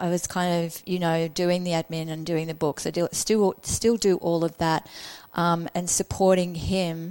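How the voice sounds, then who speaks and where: A normal speaking voice moves at a fairly slow pace. The sound is dry and close, with no echo. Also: woman, fairly low pitch for a woman. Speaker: podcast host and coach. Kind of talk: casual interview chat. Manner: warm, upbeat.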